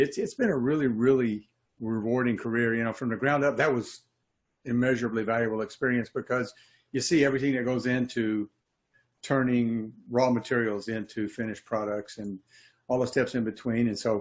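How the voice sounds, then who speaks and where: A man with an unremarkable speaking voice at medium pitch talks at a fairly quick pace over a quiet background. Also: fairly even intonation. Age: 60s. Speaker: HVAC technician and trainer. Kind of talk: interview.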